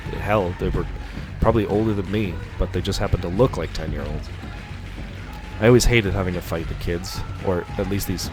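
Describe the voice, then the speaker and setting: Over music in the background, a man with a very deep, low voice speaks at a fairly quick pace with fairly even intonation. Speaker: audiobook narrator. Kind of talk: horror story narration.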